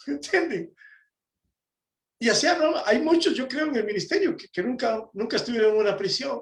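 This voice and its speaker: A man speaks at an extremely high pitch, his voice swinging very widely up and down. He keeps a moderate pace, broken by long, frequent pauses. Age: 60s. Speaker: preacher, prison ministry volunteer. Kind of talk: sermon. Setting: conference talk.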